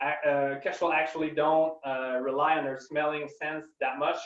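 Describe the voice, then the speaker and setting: At a moderate pace, a man with a French accent speaks in a fairly high pitch. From Quebec, Canada. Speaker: scientist. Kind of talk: webinar Q&A. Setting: online webinar. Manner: halting, many fillers.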